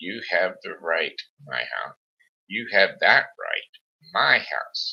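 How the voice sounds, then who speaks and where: A man speaks in a put-on character voice. His pace is very slow. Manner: snapping, sharp.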